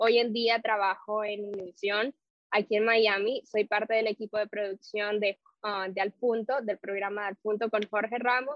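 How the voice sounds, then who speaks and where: A woman's fairly high, monotone, flat voice at a moderate pace. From Nicaragua. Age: 20s. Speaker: entertainment journalist. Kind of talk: interview.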